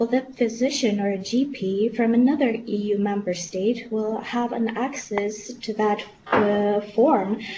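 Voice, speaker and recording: Noticeable background noise beneath a woman's fairly high voice. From Lithuania. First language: Lithuanian. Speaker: medical student representative. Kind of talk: webinar question. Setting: webinar. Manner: halting.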